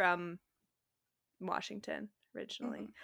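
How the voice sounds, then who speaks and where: A woman speaks with a West Coast US accent. Her tone is bright and sharp. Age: 20s. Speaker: podcast co-host. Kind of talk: casual chat.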